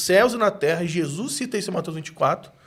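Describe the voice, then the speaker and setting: A man's voice with very wide pitch swings. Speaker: preacher. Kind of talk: casual chat.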